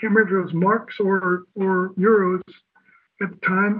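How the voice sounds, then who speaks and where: A man speaks with an American accent. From Southern California. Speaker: musician and visual artist. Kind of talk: interview, casual chat. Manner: halting, hesitant.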